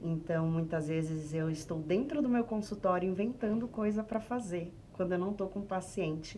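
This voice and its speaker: Over noticeable background noise, a woman speaks at a moderate pace with hardly any pauses, using a medium pitch and ordinary pitch variation. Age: 30s. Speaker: sex therapist. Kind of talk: podcast interview.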